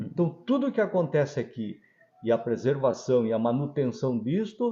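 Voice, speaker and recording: A man's somewhat breathy, fairly high voice with very wide pitch swings, at a moderate pace. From Brazil, coastal Paraná (Antonina). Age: 70s. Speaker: pharmacy owner. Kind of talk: interview.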